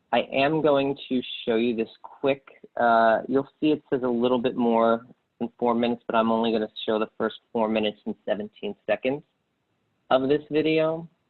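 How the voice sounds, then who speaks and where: A man with a plain, everyday voice speaks at a moderate pace, his medium pitch showing ordinary pitch variation. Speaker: webinar presenter. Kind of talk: webinar presentation.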